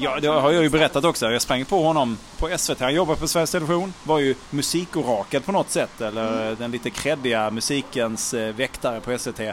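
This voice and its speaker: Over noticeable background noise, a man talks at a fairly quick pace with hardly any pauses. His pitch is medium. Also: ordinary pitch variation. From Malmö, southern Sweden. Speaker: podcast co-host. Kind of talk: casual chat. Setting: bar on a busy street.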